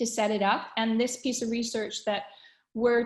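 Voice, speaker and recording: Against a quiet background, a woman speaks fairly quickly in a fairly high, somewhat breathy voice. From Canada. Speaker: webinar host, communications consultant. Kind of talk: webinar presentation. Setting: online webinar call. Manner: conversational with frequent fillers.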